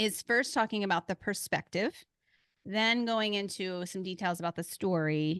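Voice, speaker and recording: Against a quiet background, a woman with a slight Philadelphia accent speaks at a moderate pace in a medium pitch with ordinary pitch variation and a dry, close sound with no echo. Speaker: podcast host. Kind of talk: casual chat.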